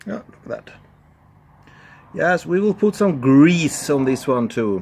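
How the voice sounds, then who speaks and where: A man with a Swedish accent, a fairly high voice and very wide pitch swings at a fairly slow pace. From Sweden. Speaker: amateur car mechanic, video creator. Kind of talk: DIY tutorial. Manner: casual, thinking aloud.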